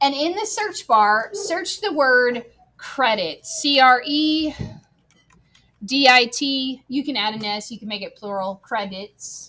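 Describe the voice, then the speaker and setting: Very slowly, a woman projects a raised, high voice with a bright, sharp tone. Her pitch swings very widely and her loudness rises and falls sharply. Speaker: teacher. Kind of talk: classroom tutorial. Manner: casual, conversational.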